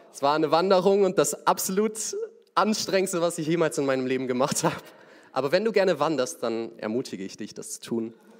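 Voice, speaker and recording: The delivery is very fast, with lively intonation. Loudness swings widely. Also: man, fairly high pitch for a man. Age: young. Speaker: young lay preacher. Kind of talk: sermon.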